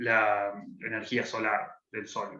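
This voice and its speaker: With audible room echo, a man talks in a Buenos Aires accent. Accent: Buenos Aires (porteño) Argentine Spanish. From Argentina, Buenos Aires. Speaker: political scientist working on climate policy. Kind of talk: interview explanation.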